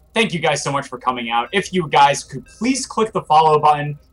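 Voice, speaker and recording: A man talks at a fairly quick pace with lively intonation. His pitch sits fairly high. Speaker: esports caster. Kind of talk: live commentary. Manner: animated.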